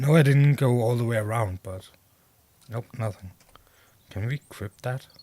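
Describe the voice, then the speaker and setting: A man at medium pitch with a dark, mellow tone, somewhat breathy, ordinary pitch variation, a moderate pace broken by long, frequent pauses, and a dry, close sound with no echo. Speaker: gaming streamer. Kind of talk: gameplay commentary. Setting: live stream.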